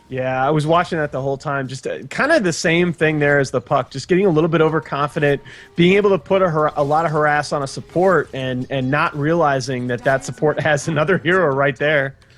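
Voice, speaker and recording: Music plays in the background while a man speaks at a fairly high pitch. He goes very fast with hardly any pauses. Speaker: esports commentator. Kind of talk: live esports color commentary. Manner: excitable.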